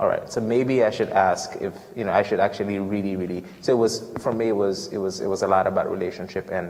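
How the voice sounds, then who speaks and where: A man with an American accent, fairly low pitch, ordinary pitch variation and a very fast pace. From Ghana. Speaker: student returning from a mission trip. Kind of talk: Q&A after a talk. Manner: halting, many fillers and repetitions.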